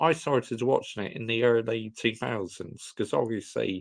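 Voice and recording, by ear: A man talks at a fairly slow pace with vocal fry. His pitch variation is ordinary. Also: medium pitch for a man.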